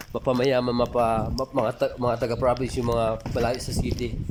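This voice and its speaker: Against noticeable background noise, a man speaks at a moderate pace in a monotone, flat way. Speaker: vlogger. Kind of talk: casual vlog talk to camera.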